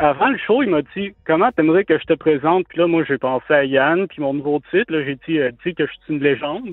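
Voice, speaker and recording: Here is a man with a plain, everyday voice and a fairly high pitch. He speaks at a moderate pace with ordinary pitch variation. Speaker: caller, comedian. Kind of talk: casual chat.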